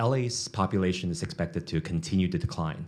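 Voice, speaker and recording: A man with a very deep, low pitch and ordinary pitch variation talks at a fairly quick pace. The recording is very clean with a silent background. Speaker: economic development executive, panel moderator. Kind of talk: panel moderation at a business forum. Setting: conference stage with audience. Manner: fast.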